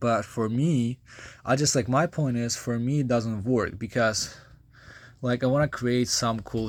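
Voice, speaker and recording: A man's medium-pitched voice with a Ukrainian accent at a fairly slow pace, on a very clean recording with a silent background. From Ukraine. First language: Ukrainian or Russian. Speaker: vlogger. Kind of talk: casual vlog monologue. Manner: halting, many fillers.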